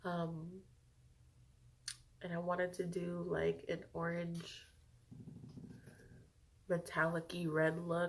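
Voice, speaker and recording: A woman's fairly low, somewhat breathy voice, very slow and monotone, with long, frequent pauses. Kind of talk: casual talk to camera. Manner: casual, chatty.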